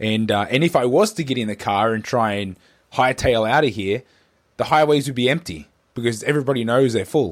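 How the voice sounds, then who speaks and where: An Australian accent marks this man's speech. His medium-pitched voice moves at a fairly quick pace. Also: ordinary pitch variation, very clean recording, silent background. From Australia (Newcastle, NSW). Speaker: podcast host. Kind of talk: casual chat. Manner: halting, many fillers and repeats.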